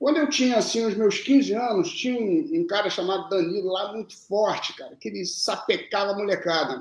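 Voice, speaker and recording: A man's high-pitched voice, with lively intonation at a moderate pace. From Minas Gerais (Lavras), raised in Brasília from age 2, Rio from age 10. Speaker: jiu-jitsu coach and former champion. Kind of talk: casual interview storytelling.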